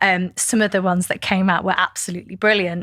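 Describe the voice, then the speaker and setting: Very fast speech from a woman in a northern English accent, medium pitch, bright and sharp tone, with monotone, flat intonation. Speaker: podcast host. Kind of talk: interview.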